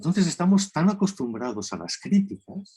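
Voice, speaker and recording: A somewhat breathy man's voice at a very slow pace. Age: 60s. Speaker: therapist, lecturer. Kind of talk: lecture. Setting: video call.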